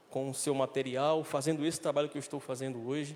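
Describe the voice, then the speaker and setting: A man with a northeastern Brazilian accent speaks at a fairly quick pace and a fairly high pitch. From Brazil, Recife, Pernambuco. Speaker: director of a homeless recovery mission. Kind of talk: church talk.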